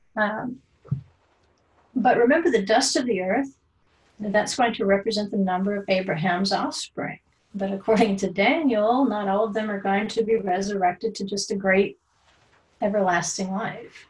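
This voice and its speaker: A woman's somewhat breathy, medium-pitched voice at a moderate pace, with ordinary pitch variation and long, frequent pauses. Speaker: Bible teacher. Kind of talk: lecture.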